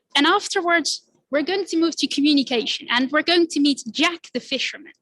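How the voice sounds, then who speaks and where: A woman talks at a fairly quick pace in a Dutch accent, her high voice bright and sharp, with very even loudness. The sound is dry and close, with no echo. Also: ordinary pitch variation. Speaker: climate activist. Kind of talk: presentation. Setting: stage with audience. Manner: animated.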